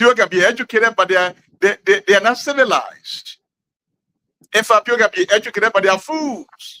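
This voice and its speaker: The voice is raised and projected, with a bright, sharp tone, ordinary pitch variation, and a dry, close sound with no echo. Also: man, high pitch for a man. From Liberia, Grand Gedeh County. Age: 60s. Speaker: community elder. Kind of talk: interview. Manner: halting.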